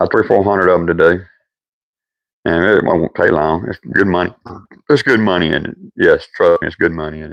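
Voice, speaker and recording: With a strong Southern US accent, a man talks at a fairly quick pace broken by long, frequent pauses. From US South. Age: old. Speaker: woodworking live streamer. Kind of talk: casual live stream chat. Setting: workshop. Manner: halting, repetitive.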